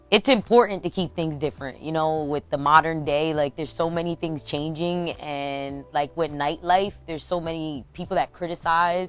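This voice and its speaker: A woman with an American accent speaks at a moderate pace in a very deep, low pitch, her intonation fairly even and her speech almost free of pauses. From Pennsylvania, Bethlehem. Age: 20s. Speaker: DJ. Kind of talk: interview.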